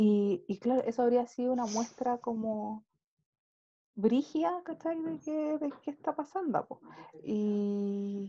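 Lively in intonation yet dark and mellow in tone, a woman's high voice moves at a very slow pace. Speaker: podcast co-host. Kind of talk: casual chat. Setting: video call.

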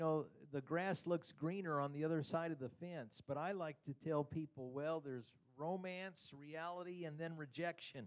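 Moderately paced speech from a man in a plain, everyday voice, pitched fairly high with ordinary pitch variation. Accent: American. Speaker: church member giving a testimony. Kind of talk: impromptu testimony. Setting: church.

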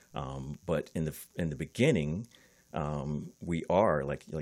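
An American-accented man speaks with a very deep, low pitch, vocal fry, and ordinary pitch variation in a very clean recording with a silent background. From US East Coast. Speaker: podcast co-host. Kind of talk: casual chat.

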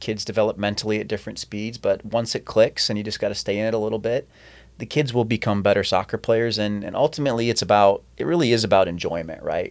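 A man speaks very fast with a Midwestern US accent, his pitch medium with ordinary variation. The recording is very clean, with a silent background. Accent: US Midwest. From small-town Iowa, Decorah. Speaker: soccer club director and coach. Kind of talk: casual chat. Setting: studio.

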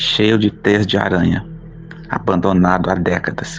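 Music plays in the background as a man speaks at a moderate pace. His pitch is very deep and low, with ordinary variation. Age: 30s. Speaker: teacher and writer. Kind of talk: reading aloud of his own short story.

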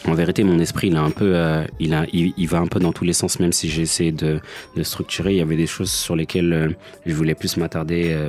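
The speech moves at a fairly quick pace in a flat monotone, with noticeable noise in the background. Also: man, very deep, low pitch for a man. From France. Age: 30s. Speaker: podcaster and father. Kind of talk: personal monologue. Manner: halting with many repetitions.

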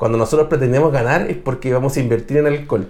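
Somewhat breathy and at medium pitch, a man talks at a fairly quick pace in a Chilean accent. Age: 30s. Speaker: metal musician. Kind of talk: casual chat.

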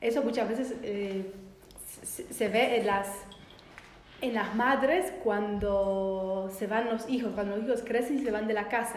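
With a Polish accent, a woman speaks fairly slowly at a fairly high pitch with ordinary pitch variation, amid audible room echo and noticeable background noise. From Poland. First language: Polish (speaking Spanish). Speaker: biodecoding therapist. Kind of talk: casual chat. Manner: halting.

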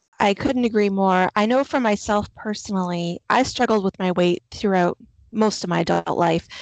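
In a dry, close recording with no echo and a quiet background, a woman with an unremarkable speaking voice talks at a moderate pace, medium in pitch, with ordinary pitch variation and very even loudness. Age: 40s. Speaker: podcast host. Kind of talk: interview conversation.

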